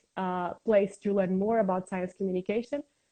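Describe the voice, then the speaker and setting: In a Portuguese accent, a woman with a medium pitch and a dark, mellow tone speaks at a fairly quick pace with fairly even intonation, in a dry, close sound with no echo. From Portugal, Lisbon. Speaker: science communicator. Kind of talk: interview. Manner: halting.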